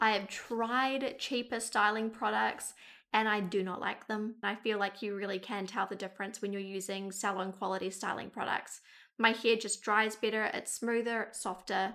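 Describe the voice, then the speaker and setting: A woman at medium pitch speaks with a New Zealand accent at a moderate pace, in a bright, sharp tone with monotone, flat intonation. The recording is very clean, with a silent background. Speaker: beauty vlogger. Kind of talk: casual talk-to-camera advice.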